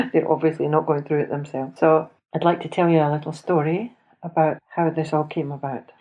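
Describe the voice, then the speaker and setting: A woman with a Scottish accent speaks at a moderate pace in a very deep, low voice. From Scotland. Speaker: podcast host. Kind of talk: personal storytelling. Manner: conversational.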